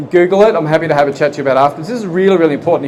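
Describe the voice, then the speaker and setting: A man with an Australian accent speaks at a fairly high pitch with ordinary pitch variation amid noticeable background noise. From Australia, Geelong. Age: 40s. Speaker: property project manager. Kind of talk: seminar presentation. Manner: conversational, engaging audience.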